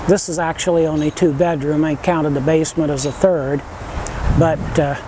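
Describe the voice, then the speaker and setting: A man's fairly high, monotone, flat voice against noticeable background noise. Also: moderate pace. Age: 70s. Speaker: vlogger. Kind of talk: casual vlog talk. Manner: halting.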